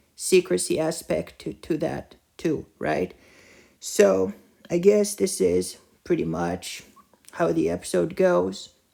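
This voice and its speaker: The speech goes at a fairly slow pace with long, frequent pauses. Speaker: TV show reviewer. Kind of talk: video review monologue. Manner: halting, many fillers and repetitions.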